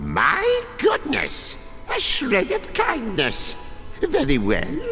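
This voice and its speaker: A put-on character voice speaks at a very slow pace. Clear background noise can be heard. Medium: machinima. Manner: theatrical, gleeful.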